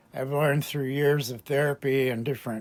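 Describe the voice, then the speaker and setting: Recorded very cleanly against a silent background, a man speaks at a moderate pace with a medium pitch. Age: 60s. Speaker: YouTube channel owner, spiritual self-help speaker. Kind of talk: personal testimony monologue. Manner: halting, with false starts.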